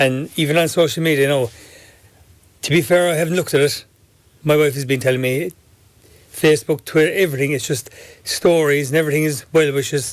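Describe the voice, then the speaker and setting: Despite long, frequent pauses, a man with a Kerry accent talks at a very fast pace, his pitch fairly high and his intonation fairly even. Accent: Kerry Irish. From Ireland, Tralee, County Kerry. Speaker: pub owner. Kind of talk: radio interview. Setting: studio.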